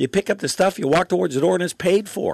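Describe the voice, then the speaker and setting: Speaking in an Ontario accent, a man with a high pitch and ordinary pitch variation sounds dry and close, with no echo and a quiet background. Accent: Canadian (Ontario). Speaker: talk radio host. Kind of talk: talk radio monologue. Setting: studio. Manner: fast.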